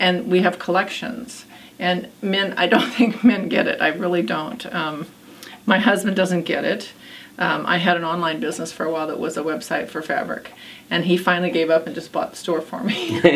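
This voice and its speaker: A woman speaks at a moderate pace and fairly low pitch, her intonation lively. Audible room echo and noticeable background noise fill the recording. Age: 60s. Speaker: quilt shop owner. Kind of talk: interview. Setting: in her quilt shop. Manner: conversational, with many fillers.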